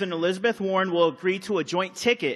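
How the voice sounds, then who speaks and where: A loud man speaks very fast in a high voice with a bright, sharp tone. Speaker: convention delegate. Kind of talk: floor debate speech.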